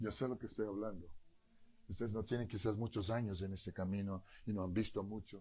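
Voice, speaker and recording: Speaking at a fairly quick pace, a man with a fairly low pitch has a dark, mellow tone and fairly even intonation. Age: 60s. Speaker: pastor. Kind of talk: sermon. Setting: church.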